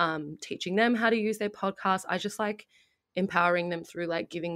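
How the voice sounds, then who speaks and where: With an Australian accent, a woman speaks with ordinary pitch variation in a very clean recording with a silent background. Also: dry, close sound with no echo. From Melbourne, Australia. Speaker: multimedia producer and community radio broadcaster. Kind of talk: casual interview.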